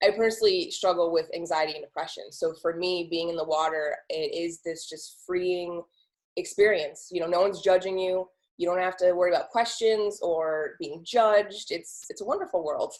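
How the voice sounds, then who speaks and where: In an ordinary speaking voice, a woman with an American accent talks at a moderate pace and medium pitch, with fairly even intonation. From Ohio. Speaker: podcast host. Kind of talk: interview.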